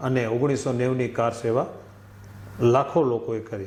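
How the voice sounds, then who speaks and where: With a normal speaking voice, this man keeps a medium pitch and fairly even intonation. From Kutch, Gujarat (Ratnal village). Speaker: former volunteer activist. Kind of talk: testimony.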